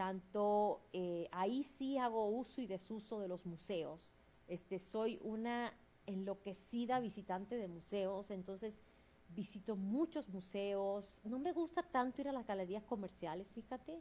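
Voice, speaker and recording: A woman's dark, mellow tone at a medium pitch, with a Cuban accent, lively intonation and a fairly slow pace. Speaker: museum specialist and curator. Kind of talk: interview.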